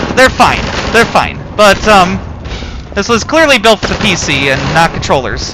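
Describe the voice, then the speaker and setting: Against noticeable background noise, a man with a high pitch talks at a moderate pace, his voice making very wide pitch swings. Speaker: podcaster and gamer. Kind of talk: gameplay commentary. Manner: casual, hesitant with fillers. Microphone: audio technology problems.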